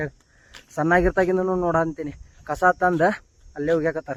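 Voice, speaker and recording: A man with a high-pitched voice. His intonation stays monotone and flat. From Dharwad, North Karnataka, India. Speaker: village vlogger and kabaddi player. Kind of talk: casual vlog walkthrough.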